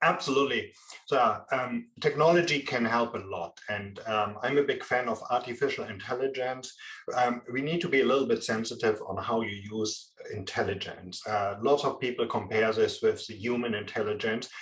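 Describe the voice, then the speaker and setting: This man talks at a moderate pace. His voice is medium in pitch, with ordinary pitch variation. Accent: strong German. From Germany. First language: German. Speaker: procurement and supply chain expert. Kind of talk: interview. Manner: halting, many fillers.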